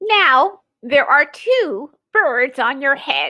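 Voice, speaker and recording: A woman's high-pitched put-on character voice at a very slow pace. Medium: read story.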